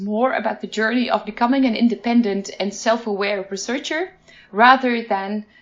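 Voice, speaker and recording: A woman talks at a fairly high pitch over noticeable background noise. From Netherlands. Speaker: education researcher. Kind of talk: interview. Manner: hesitant, with many fillers.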